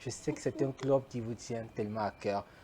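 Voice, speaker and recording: A man speaks in a medium pitch with ordinary pitch variation. His pace is moderate. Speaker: talk show host. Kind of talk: interview.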